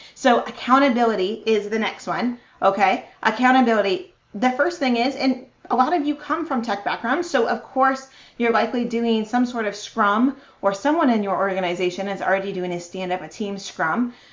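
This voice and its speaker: Enthusiastic in tone, a woman with a fairly high voice speaks at a moderate pace with lively intonation. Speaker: marketing strategist and conference speaker. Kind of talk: virtual conference talk.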